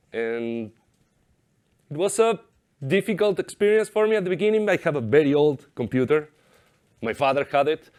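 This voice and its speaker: A man in an Argentine accent, with very wide pitch swings and a moderate pace, in a very clean recording against a silent background. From Argentina. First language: Spanish. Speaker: software developer. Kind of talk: conference talk. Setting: stage with audience.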